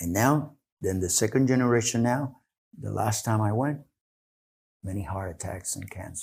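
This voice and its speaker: This man's fairly low voice is somewhat breathy, moving at a moderate pace with ordinary pitch variation. Long, frequent pauses break up his speech on a very clean recording with a silent background. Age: 70s. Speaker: clinical exercise director. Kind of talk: podcast interview. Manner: halting, many restarts.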